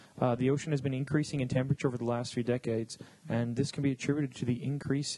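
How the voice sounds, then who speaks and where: With a Canadian accent, a man speaks at a fairly high pitch with ordinary pitch variation over noticeable background noise. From Canada. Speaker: podcast host. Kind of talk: reading news aloud. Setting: studio.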